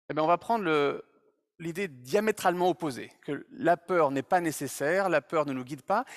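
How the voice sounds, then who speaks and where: Recorded very cleanly against a silent background, a man speaks at a high pitch with a dry, close sound and no echo. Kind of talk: public talk. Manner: hesitant, many fillers.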